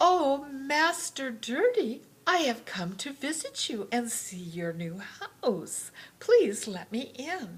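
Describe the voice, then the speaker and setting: A female-sounding put-on character voice, high in pitch, very slow, with very wide pitch swings. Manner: sweet, deceptively polite.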